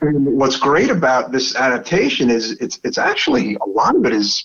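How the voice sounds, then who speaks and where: Someone speaks at a moderate pace with a strong Brooklyn accent. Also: man. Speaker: podcast host. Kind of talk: casual chat.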